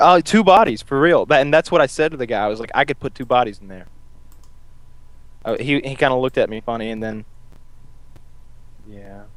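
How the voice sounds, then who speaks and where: The speech moves at a fairly quick pace with lively intonation, broken by long, frequent pauses. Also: man, medium pitch for a man. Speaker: show host. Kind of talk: casual chat.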